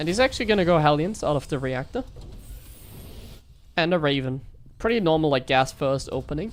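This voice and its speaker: A woman with a German accent speaks in a very deep, low pitch with lively intonation. Her pace is fairly quick, though long, frequent pauses break it up. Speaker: StarCraft streamer and caster. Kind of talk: live game commentary. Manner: animated.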